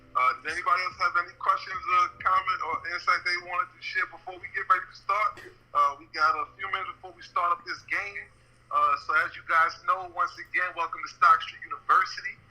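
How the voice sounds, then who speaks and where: A man's fairly quick speech, with big swings in loudness. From New York, Brooklyn. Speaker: podcast host. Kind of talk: casual chat.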